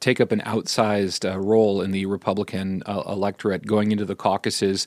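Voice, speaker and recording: A man with an American accent speaks at a fairly low pitch and a fairly quick pace, with hardly any pauses, in an ordinary speaking voice. The recording is very clean with a silent background and a dry, close sound with no echo. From US Midwest, Iowa-Nebraska border. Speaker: political reporter. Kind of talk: radio interview.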